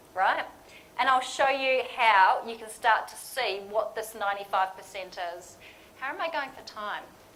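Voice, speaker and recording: A woman talks with lively intonation amid audible room echo. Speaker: lean management consultant. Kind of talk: conference presentation. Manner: casual, interactive.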